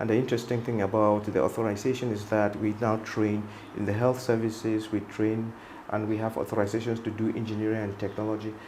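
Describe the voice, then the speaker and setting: In a room with audible echo, a man with a fairly low pitch talks at a very fast pace in a flat monotone. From Cameroon, Northwest region. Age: 60s. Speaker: medical doctor and entrepreneur. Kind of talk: interview.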